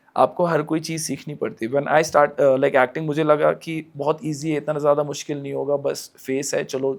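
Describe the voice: On a very clean recording with a silent background, a man with a Kashmiri accent and fairly high pitch talks at a moderate pace with hardly any pauses. His intonation is fairly even, though his loudness swings a lot.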